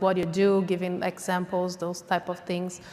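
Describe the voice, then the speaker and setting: A woman with a non-native accent speaks at a medium pitch. Her pace is moderate. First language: not English. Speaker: pitch competition judge. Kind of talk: judge feedback. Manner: hesitant.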